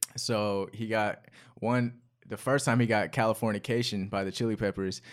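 In a very clean recording with a silent background, a man with an American accent speaks in an unremarkable speaking voice at a moderate pace and with fairly even intonation. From North Carolina, US. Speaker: rapper. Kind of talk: casual chat.

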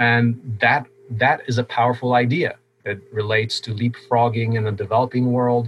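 Speaking at a moderate pace, a man has a medium pitch and a somewhat breathy voice. His intonation stays flat and monotone. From Poland, moved to US around age 10. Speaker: open source hardware founder, engineer. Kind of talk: interview conversation.

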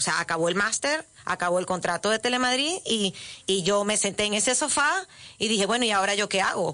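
Her voice is at a medium pitch for a woman, with ordinary pitch variation. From Venezuela. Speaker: author and former radio presenter. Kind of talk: interview. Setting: radio studio. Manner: talkative, halting with repetitions.

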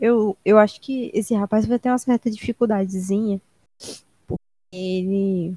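Her fairly high voice has a dark, mellow tone and fairly even intonation. The woman speaks at a moderate pace with long, frequent pauses, in a dry, close sound with no echo. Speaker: comedy podcast co-host. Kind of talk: comedic casual chat.

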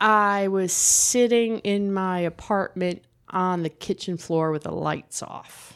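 Speaking very slowly with an American accent, a woman keeps a medium pitch and fairly even intonation in a very clean recording with a silent background. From New Jersey. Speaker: recovering alcoholic guest. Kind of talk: casual interview.

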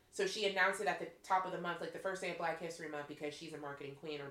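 Over noticeable background noise, a woman with an American accent speaks very fast in an animated tone at a fairly low pitch. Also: hardly any pauses, big swings in loudness. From Western Pennsylvania (Pittsburgh). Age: 30s. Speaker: podcast host. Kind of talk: casual chat.

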